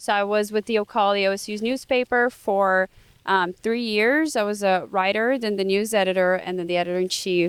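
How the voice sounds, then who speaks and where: A woman with a Portuguese accent talks at a fairly quick pace with fairly even intonation, the sound dry and close with no echo. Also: medium pitch for a woman. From Brazil. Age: 20s. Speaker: student podcast host. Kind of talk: casual interview chat.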